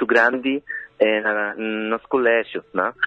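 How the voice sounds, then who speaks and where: This man, with a Spanish accent, talks at a medium pitch with fairly even intonation. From Argentina. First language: Spanish (speaking Portuguese). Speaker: film director. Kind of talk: interview. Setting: phone call. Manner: halting, mixing Spanish and Portuguese.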